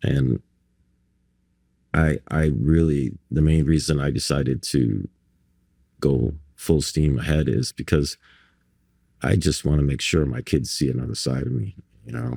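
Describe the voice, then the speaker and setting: Delivered at a fairly slow pace with long, frequent pauses, the voice has a dark, mellow tone and a dry, close sound with no echo. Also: man, very deep, low pitch for a man, ordinary pitch variation. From Barbados. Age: 60s. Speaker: artist. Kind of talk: casual interview chat. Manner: halting, many repetitions and fillers.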